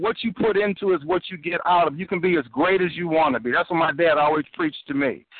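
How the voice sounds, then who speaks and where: A man's high-pitched voice with an American accent, lively intonation and a fairly quick pace. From Chicago. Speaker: music producer. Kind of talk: radio call-in. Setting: phone call.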